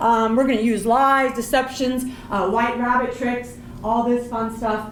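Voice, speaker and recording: An animated woman at a moderate pace, with audible room echo and noticeable background noise. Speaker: professor. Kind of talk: panel presentation.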